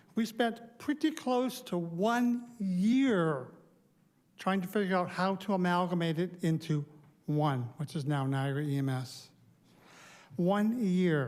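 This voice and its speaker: Audible room echo follows a man with a high pitch as he talks at a very slow pace. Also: lively intonation. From Ontario, Canada. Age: 60s. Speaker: public delegate at council meeting. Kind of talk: public deputation speech. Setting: council chamber lectern. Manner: unscripted, conversational.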